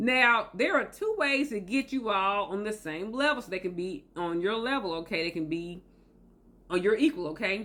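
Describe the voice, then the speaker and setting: With a Southern US accent, a woman speaks in a bright, sharp tone with lively intonation. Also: medium pitch for a woman, moderate pace. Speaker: motivational video host. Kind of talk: motivational talk to camera.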